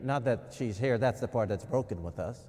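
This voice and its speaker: A man's dark, mellow tone moves with lively intonation. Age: 50s. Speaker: pastor. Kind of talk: sermon. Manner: conversational.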